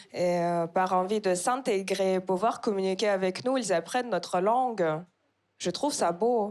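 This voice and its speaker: A normal speaking voice from a woman, medium in pitch with ordinary pitch variation, at a fairly slow pace on a very clean recording with a silent background. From Kazakhstan. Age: 20s. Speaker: stand-up comedian. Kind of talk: stand-up. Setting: stage with audience.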